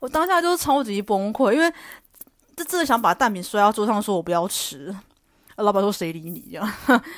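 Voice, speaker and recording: A woman speaks at a fairly quick pace in a fairly high pitch, with very wide pitch swings and big swings in loudness. The recording is very clean, with a silent background. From Taiwan, Taichung. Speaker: podcast host. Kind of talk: casual solo monologue.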